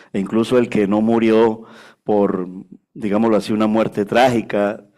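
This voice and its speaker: At a moderate pace comes a plain, everyday voice in a very clean recording with a silent background. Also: man. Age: 60s. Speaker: pastor. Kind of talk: sermon. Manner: conversational, frequent filler 'vale'.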